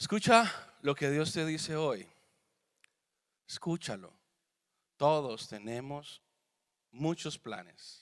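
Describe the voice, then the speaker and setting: A man at a fairly high pitch, very slow and full of long, frequent pauses, with very wide pitch swings, in a very clean recording over a silent background. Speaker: pastor. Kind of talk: sermon. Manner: animated.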